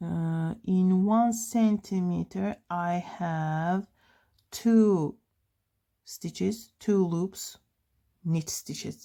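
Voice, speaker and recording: Speaking very slowly with long, frequent pauses, a woman with a non-native accent has a medium pitch, a dark, mellow tone and fairly even intonation. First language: not English. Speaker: knitting tutorial creator. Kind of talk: tutorial. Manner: halting, many fillers.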